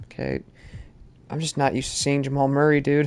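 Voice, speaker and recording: Over noticeable background noise, the voice moves at a fairly quick pace. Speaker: gaming streamer. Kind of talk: live gameplay commentary. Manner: slurred speech; excited outbursts.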